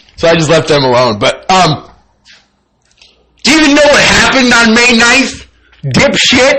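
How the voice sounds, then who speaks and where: A man speaks in an extremely high pitch with an animated tone, very wide pitch swings and very even loudness. His moderate pace is marked by long, frequent pauses, and the room echo is audible. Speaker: channel owner vlogger. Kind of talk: personal monologue.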